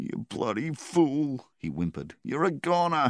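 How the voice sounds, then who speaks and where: A man puts on a character voice at a fairly high pitch, with very wide pitch swings. The sound is dry and close, with no echo. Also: moderate pace. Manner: whimpering, tearful.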